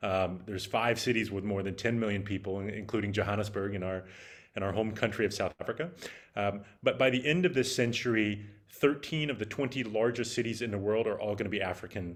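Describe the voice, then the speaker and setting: Speaking at a very fast pace with an American accent, a man with a fairly low pitch and ordinary pitch variation is heard on a very clean recording with a silent background. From United States. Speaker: startup executive and venture capitalist. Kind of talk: keynote talk. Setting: virtual event. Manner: halting, many fillers.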